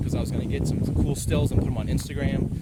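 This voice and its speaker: A man speaks at a fairly quick pace. Noticeable background noise and audible room echo surround his voice. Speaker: vlogger, former reporter. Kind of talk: casual outdoor vlog. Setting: outdoors. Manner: fast.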